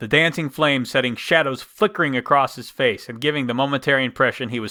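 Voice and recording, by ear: This is reading aloud in a natural voice. Pitch varies in an ordinary way.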